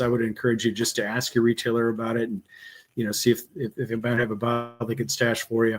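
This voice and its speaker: Someone talks at a very fast pace with a Wisconsin accent. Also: man. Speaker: bourbon course instructor. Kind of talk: interview.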